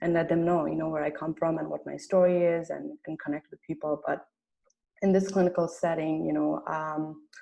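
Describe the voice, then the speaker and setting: A woman speaks with a slight Nepali accent. Her pace is moderate. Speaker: medical student. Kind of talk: personal testimony in group discussion. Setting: video call.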